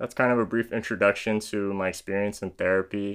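A man with a Californian accent talks at a fairly quick pace. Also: very clean recording, silent background. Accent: Californian American. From San Diego, California. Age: 20s. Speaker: YouTuber and music industry manager. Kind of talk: casual monologue video podcast.

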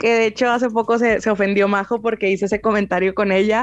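The speaker has a Mexican accent. The pace is fairly quick. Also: woman. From Mexico. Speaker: podcast co-host. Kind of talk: casual chat.

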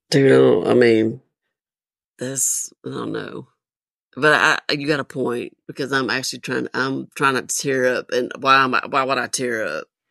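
Fairly slow and recorded dry and close with no echo, a woman speaks with a Southern US accent. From US South. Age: 50s. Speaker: military veteran. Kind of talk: casual chat. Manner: halting.

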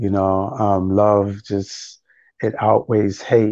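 In a New York accent, a man with a fairly low pitch speaks in a flat monotone. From New York City (Harlem, the Bronx). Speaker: spoken word poet. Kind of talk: interview.

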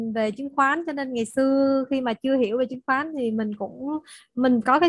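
Here a woman speaks with fairly even intonation. The recording is very clean, with a silent background. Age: 30s. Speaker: real estate salesperson and investor. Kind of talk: personal testimony in group discussion.

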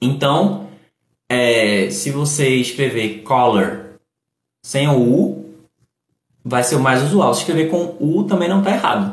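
Breathing somewhat into his words, a man of medium pitch talks at a very slow pace with lively intonation and long, frequent pauses. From Brazil, Recife, Pernambuco (Northeast). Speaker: English teacher and live streamer. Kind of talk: live stream English lesson with chat. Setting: live stream on TikTok. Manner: animated.

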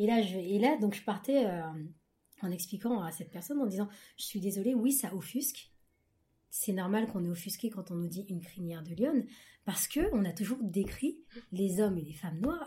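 A woman with a somewhat breathy, dark, mellow tone at a medium pitch speaks at a moderate pace with lively intonation and long, frequent pauses. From France, Paris region, Ghanaian heritage. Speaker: book club guest. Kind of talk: casual chat.

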